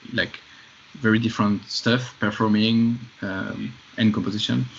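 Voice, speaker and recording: Medium-pitched male speech at a moderate pace, fairly even in intonation, over noticeable background noise. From France. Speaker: film composer. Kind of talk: podcast interview.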